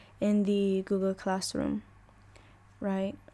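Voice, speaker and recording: A woman with an Arabic accent speaks at a medium pitch. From UAE. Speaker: language teacher. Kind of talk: online lesson. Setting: voice chat on a Discord server.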